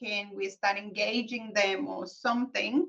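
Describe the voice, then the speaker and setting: Ordinary pitch variation and a fairly slow pace from a woman. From Colombia. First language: Spanish. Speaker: accountant, business founder. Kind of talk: interview.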